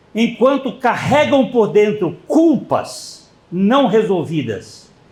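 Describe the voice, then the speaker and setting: The man speaks at a very slow pace with lively intonation. Audible room echo surrounds his voice. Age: 80s+. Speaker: pastor. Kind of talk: sermon.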